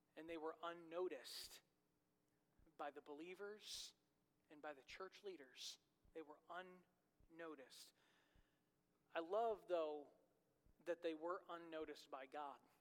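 With fairly even intonation, a man speaks at a high pitch and a fairly slow pace. His speech has long, frequent pauses. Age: 30s. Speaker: pastor. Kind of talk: sermon.

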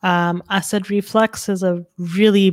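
On a very clean recording with a silent background, a woman with a Canadian accent speaks at medium pitch in a monotone, flat intonation. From Calgary, Alberta, Canada. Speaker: nutritionist. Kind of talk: casual chat.

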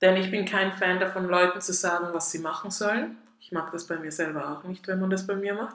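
Audible room echo surrounds a woman speaking at a fairly quick pace. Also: medium pitch for a woman, fairly even intonation. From Austria, Tyrol. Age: 30s. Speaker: podcast host. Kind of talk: solo podcast monologue.

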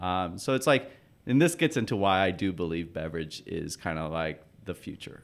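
A man with a very deep, low voice speaks in an American accent with lively intonation. The recording is very clean, with a silent background. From Oakland, California. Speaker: company founder. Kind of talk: casual interview.

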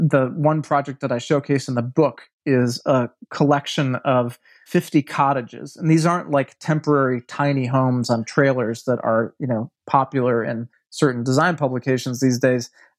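With an American accent, an unremarkable speaking voice talks at a moderate pace with fairly even intonation in a dry, close sound with no echo. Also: man, medium pitch for a man. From US Midwest, Milwaukee, Wisconsin. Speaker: architecture writer and design strategist. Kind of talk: casual interview.

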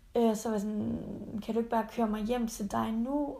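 With a dark, mellow tone, a woman speaks at a moderate pace in a fairly high, somewhat breathy voice with monotone, flat intonation. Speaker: podcast co-host. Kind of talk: casual chat; recorded mock phone call.

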